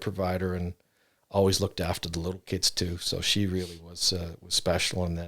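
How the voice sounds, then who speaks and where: A flat, monotone delivery at a moderate pace with a Canadian accent. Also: man. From Canada, Ontario. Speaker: bereaved father. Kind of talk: interview. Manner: halting.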